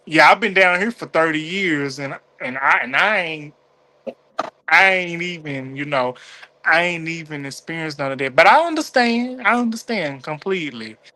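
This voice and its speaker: With a Southern accent, a man talks at a high pitch and a moderate pace. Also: lively intonation. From US South, Mississippi. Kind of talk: casual chat. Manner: animated.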